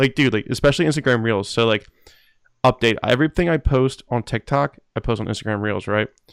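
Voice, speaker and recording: A man with an American accent speaks at a fairly quick pace in an ordinary speaking voice, with medium pitch and ordinary pitch variation. The recording is very clean with a silent background and a dry, close sound with no echo. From New Jersey. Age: 20s. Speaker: podcast host. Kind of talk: casual interview.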